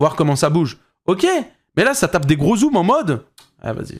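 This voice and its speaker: This man has a fairly high pitch and an animated tone. He talks at a fairly quick pace with ordinary pitch variation. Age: 20s. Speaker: streamer reacting to videos. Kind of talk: live stream reaction commentary.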